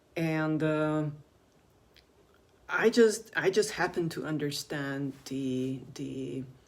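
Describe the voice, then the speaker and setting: The speech moves at a very slow pace with long, frequent pauses. Its loudness swings widely. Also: woman, very deep, low pitch for a woman, lively intonation. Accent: non-native. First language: not English. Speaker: video blogger on alternative health. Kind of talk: casual monologue to camera. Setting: in front of a camera. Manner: halting, many fillers.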